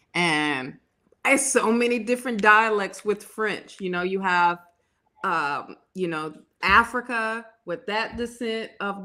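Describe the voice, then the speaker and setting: A woman's bright, sharp voice at a very slow pace with ordinary pitch variation. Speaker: tarot reader. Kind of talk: casual chat.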